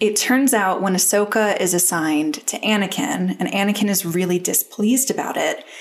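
Here is a woman with a plain, everyday voice. She speaks at medium pitch and a moderate pace. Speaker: podcast host. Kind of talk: casual chat.

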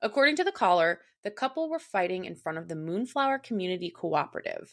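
Against a quiet background, a woman speaks at a fairly quick pace in a fairly low pitch. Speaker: true crime podcast co-host. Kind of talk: scripted narration.

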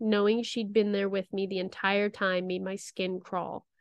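A woman talks at a moderate pace with a normal speaking voice. Her pitch sits in the middle of the female range. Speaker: podcast co-host. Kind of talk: ghost story telling; reading aloud a scary story.

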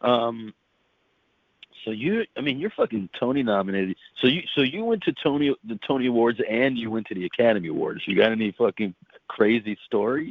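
A man with a medium pitch talks fairly quickly in an animated tone with ordinary pitch variation. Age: 40s. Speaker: podcast host, actor. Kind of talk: casual chat. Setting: video call.

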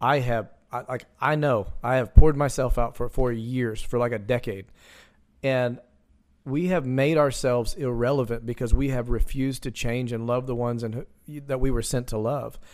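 A man talks in a normal speaking voice, pitched medium, at a moderate pace with fairly even intonation. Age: 30s. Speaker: evangelist. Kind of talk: casual chat. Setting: video call.

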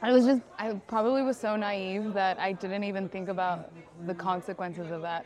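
Someone with an American accent speaks at a moderate pace with ordinary pitch variation as crowd noise fills the background. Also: woman, medium pitch for a woman. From California, Sacramento. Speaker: content creator. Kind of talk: casual chat.

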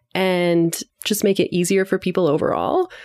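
This is a plain, everyday voice with a Canadian accent. It moves at a fairly slow pace. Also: woman. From London, Ontario. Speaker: founder of regional textile network. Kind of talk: casual interview conversation. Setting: quiet room at a conference.

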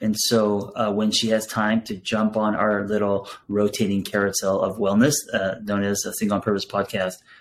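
A man speaks at a moderate pace with fairly low pitch and an ordinary speaking voice. The recording is very clean, with a silent background. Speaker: podcast host and therapist. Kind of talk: podcast interview.

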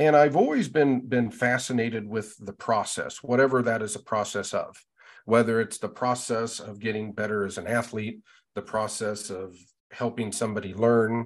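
This man talks in a normal speaking voice with an American accent. His pitch sits in the medium range, his intonation is fairly even, and his pace is moderate. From western Nebraska, US. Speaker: university department chair, teacher educator. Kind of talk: interview.

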